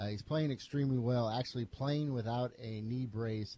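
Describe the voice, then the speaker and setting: In a dark, mellow tone, a man speaks at a medium pitch. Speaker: radio sports host. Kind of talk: radio sports talk show banter. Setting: radio studio. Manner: energetic, upbeat, fast-paced.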